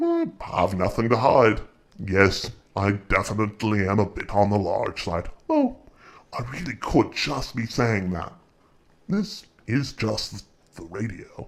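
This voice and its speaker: A man's put-on character voice at medium pitch, fairly slow, with long, frequent pauses. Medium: audio drama. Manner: suave, playful.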